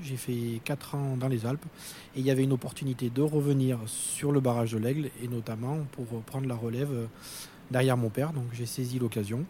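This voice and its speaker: This man's dark, mellow voice is somewhat breathy, and he keeps a moderate pace with fairly even intonation. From Corrèze area, central France. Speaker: plant coordinator. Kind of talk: interview.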